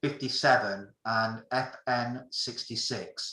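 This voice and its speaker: A man speaks with a British accent. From England. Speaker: amateur radio operator giving a talk. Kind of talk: technical presentation. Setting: video call.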